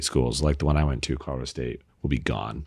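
The speaker is a man. His voice is very deep and low. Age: 40s. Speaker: tech company founder. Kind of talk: casual chat.

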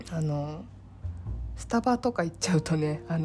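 A woman's very deep, low voice over music in the background. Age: 30s. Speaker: solo podcaster. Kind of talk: casual monologue.

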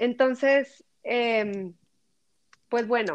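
At a very slow pace, a woman with a fairly high voice speaks with ordinary pitch variation. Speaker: podcaster and personal development content creator. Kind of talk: interview. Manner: slow, measured.

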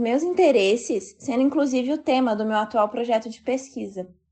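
With music playing in the background, a woman talks at a moderate pace in a fairly high pitch. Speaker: architecture student. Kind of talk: recorded testimony.

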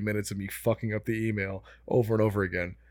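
The voice carries an American accent. The recording is very clean, with a silent background. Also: man. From US suburbs. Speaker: podcast co-host. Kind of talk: casual chat.

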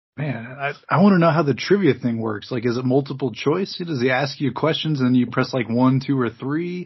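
Man's somewhat breathy, medium-pitched voice at a fairly quick pace, with ordinary pitch variation and hardly any pauses. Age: 30s. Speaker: podcast host. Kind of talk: casual chat.

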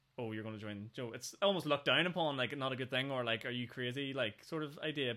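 A man with a Northern Irish accent talking at a very fast pace. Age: 20s. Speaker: podcast host. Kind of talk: casual chat.

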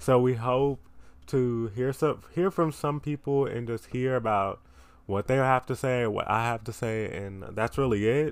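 At a fairly slow pace, a man speaks in an ordinary speaking voice at medium pitch. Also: ordinary pitch variation. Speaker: podcast host. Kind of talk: casual solo podcast chat. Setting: recording in bed. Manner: casual, rambling, self-deprecating.

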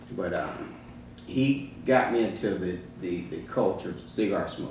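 Through audible room echo, a man speaks at a fairly low pitch. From Georgia. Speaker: retired fire chief, cigar shop owner. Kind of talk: casual interview. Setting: cigar lounge.

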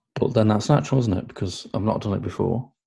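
This man's voice sits fairly low and is somewhat breathy. His tone is dark and mellow. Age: 40s. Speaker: podcast co-host. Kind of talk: casual chat.

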